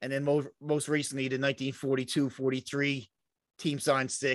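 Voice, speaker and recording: In a Newfoundland accent, a man speaks at a moderate pace and a fairly high pitch. His intonation is fairly even, and the background is quiet. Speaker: podcast co-host. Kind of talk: casual chat.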